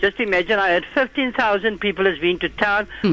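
Speaking at a moderate pace, a man with a high pitch uses a raised, projected voice. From South Africa. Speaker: caller. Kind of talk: phone-in call.

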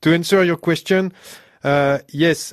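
A man speaks in a French accent. The background is quiet. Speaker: sound engineer. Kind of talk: casual chat. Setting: studio. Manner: halting, laughs often.

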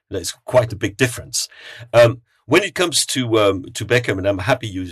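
In a quiet setting, a man speaks at a fairly quick pace, his medium-pitched voice somewhat breathy and showing ordinary pitch variation. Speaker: football journalist. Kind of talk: podcast panel discussion.

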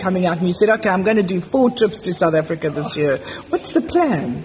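A woman talks at a fairly quick pace in a medium pitch, with very wide pitch swings. Noticeable background noise is present. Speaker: podcast host. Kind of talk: casual interview chat. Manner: animated, enthusiastic.

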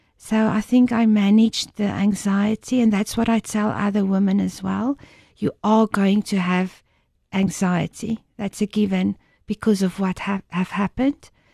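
Somewhat breathy and dark, mellow in tone, a woman speaks at medium pitch with fairly even intonation in a dry, close sound with no echo. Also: fairly slow pace. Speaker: bereaved mother, support initiative founder. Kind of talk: testimony. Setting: studio. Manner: calm.

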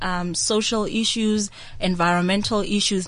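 A plain, everyday voice goes at a moderate pace with fairly even intonation. The background is quiet. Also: woman. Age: 20s. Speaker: university project coordinator. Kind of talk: radio interview. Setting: radio studio.

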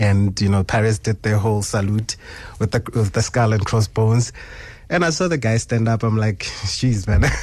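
A man talks in a fairly low, somewhat breathy voice. His pace is moderate and his pitch variation ordinary. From South Africa, Sebokeng (Gauteng). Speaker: youth football coach. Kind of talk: radio interview. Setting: radio studio. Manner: halting, many fillers and repetitions.

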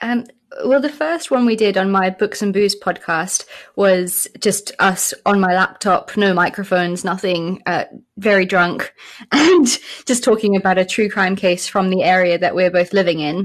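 Against a quiet background, a woman with a British accent speaks at a moderate pace and medium pitch, with ordinary pitch variation. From South Africa. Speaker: podcast co-host. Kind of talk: interview.

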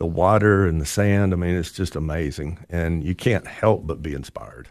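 A man speaks at a moderate pace with a very deep, low pitch and ordinary pitch variation. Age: 60s. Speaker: painter and financial advisor. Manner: hesitant, with fillers.

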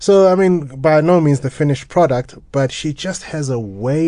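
Over a quiet background, a man speaks in a dark, mellow tone with lively intonation. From South Africa, Johannesburg area. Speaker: cellist and radio presenter. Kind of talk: radio interview. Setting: radio studio.

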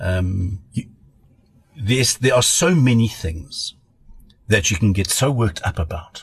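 Somewhat breathy, a man speaks with lively intonation. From South Africa, Pretoria. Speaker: pediatrician. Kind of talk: casual chat.

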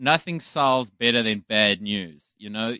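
A man talks in a normal speaking voice, keeping a medium pitch and a moderate pace. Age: 30s. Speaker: attorney. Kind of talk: audition interview.

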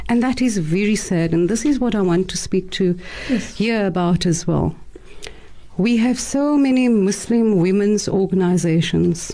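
A woman talks at a moderate pace with lively intonation. Noticeable background noise runs underneath. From South Africa, Cape Town. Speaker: activist. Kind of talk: radio panel discussion. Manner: animated.

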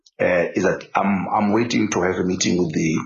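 A man talks at a moderate pace in a very deep, low voice with vocal fry. Audible room echo surrounds him. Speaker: football technical director. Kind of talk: interview. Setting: office. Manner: halting, repetitive.

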